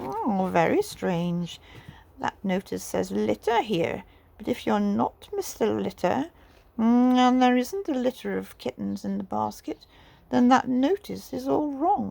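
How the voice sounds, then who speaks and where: A woman uses a put-on character voice. She talks at a fairly slow pace. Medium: read story. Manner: haughty, curious.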